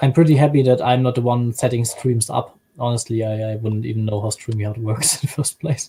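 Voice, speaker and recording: Somewhat breathy speech comes at a fairly quick pace with hardly any pauses. The intonation is fairly even, with a slight German accent. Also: man, medium pitch for a man. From Germany. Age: 20s. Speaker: YouTube creator, stream guest. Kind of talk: casual chat.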